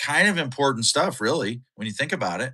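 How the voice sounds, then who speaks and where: A bright, sharp voice with a Minnesota accent comes through on a very clean recording with a silent background. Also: man. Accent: Upper Midwest (Minnesota) American. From Minnesota, US. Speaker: podcast co-host, live streamer. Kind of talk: casual live-stream chat. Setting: live stream. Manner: animated.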